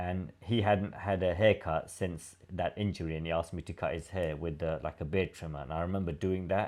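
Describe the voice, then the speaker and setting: A man's very deep, low voice with a British accent, fairly even intonation and a fairly quick pace. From London, England. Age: 50s. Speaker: former prisoner telling his life story. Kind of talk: casual interview chat. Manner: halting, many fillers.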